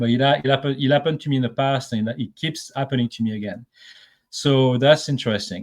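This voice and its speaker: Speech in a French accent comes at a very fast pace, with ordinary pitch variation. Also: man, medium pitch for a man. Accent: noticeable French. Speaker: remote viewer. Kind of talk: casual interview chat.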